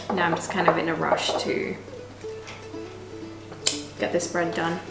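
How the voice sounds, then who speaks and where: A woman talks at a moderate pace while music plays in the background. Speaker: home cook vlogger. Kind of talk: casual cooking tutorial chat. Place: kitchen. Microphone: camera far.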